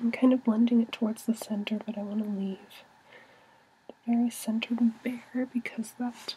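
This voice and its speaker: A soft-spoken woman with fairly high pitch and monotone, flat intonation, at a moderate pace with long, frequent pauses, over noticeable background noise. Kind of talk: ASMR makeup tutorial.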